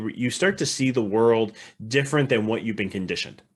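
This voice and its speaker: Lively intonation from a man, his pitch medium. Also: very clean recording, silent background. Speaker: mindset coach and author. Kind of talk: interview. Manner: fast.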